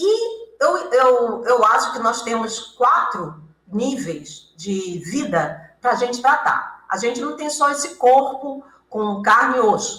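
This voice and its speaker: With audible room echo, a woman talks at a high pitch and a very slow pace, her intonation lively. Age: 70s. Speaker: author and hypnotherapist. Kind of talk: interview. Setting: radio studio with cameras.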